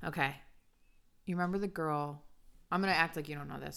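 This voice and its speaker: A woman speaks with a very deep, low pitch. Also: very clean recording, silent background. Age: 30s. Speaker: podcast co-host, influencer and nail technician. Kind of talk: casual chat.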